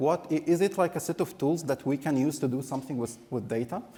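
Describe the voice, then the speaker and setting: A man at a very fast pace with hardly any pauses, fairly high pitch, lively intonation, and a dark, mellow, somewhat breathy tone. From Egypt. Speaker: conference speaker, analytics professional. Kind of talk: conference talk. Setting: conference stage with audience.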